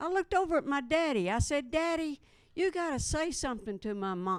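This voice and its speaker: Recorded very cleanly against a silent background, a woman with a Southern US accent talks at a moderate pace, her pitch swinging very widely. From Missouri. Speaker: stand-up comedian. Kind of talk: stand-up. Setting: stage with audience. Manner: casual, relaxed.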